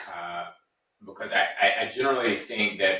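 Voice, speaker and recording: A man talks at a fairly slow pace. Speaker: podcast co-host and author. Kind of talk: casual podcast conversation. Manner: matter-of-fact, succinct; repeats words, halting starts.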